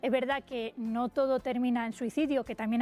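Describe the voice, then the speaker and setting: Talking at a very fast pace, a woman keeps a high pitch and monotone, flat intonation. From Spain, Valencia and Albacete (Tarazona de la Mancha). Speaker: teacher and author. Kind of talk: radio interview.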